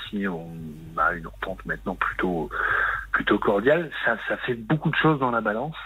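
A man with very wide pitch swings amid noticeable background noise. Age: 30s. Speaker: caller. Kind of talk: testimony. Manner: halting.

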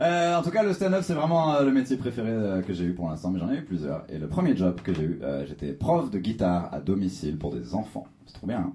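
In audible room echo, a man talks at a fairly quick pace with hardly any pauses, his dark, mellow voice fairly low in pitch and showing very wide pitch swings. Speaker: stand-up comedian. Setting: comedy club stage with audience.

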